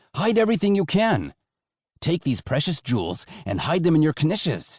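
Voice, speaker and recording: In a put-on character voice, a man with a fairly high pitch makes very wide pitch swings, recorded with a dry, close sound with no echo against a quiet background. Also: moderate pace. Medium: read story.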